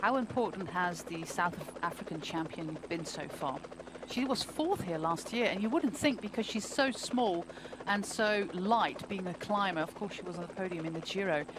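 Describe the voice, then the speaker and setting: Against noticeable background noise, a woman speaks at a moderate pace and medium pitch with lively intonation. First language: not English. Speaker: cycling race commentator. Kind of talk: live commentary.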